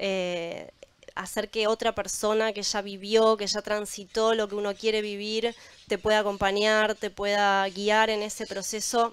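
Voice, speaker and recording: A woman's flat, monotone delivery at a fairly slow pace, dry with no echo. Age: young. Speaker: probiotics entrepreneur; panelist. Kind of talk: panel discussion. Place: waterside. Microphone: handheld.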